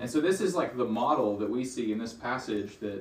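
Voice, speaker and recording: Noticeable background noise is audible. The voice belongs to a man. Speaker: bible study leader. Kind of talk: group bible study. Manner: casual, animated.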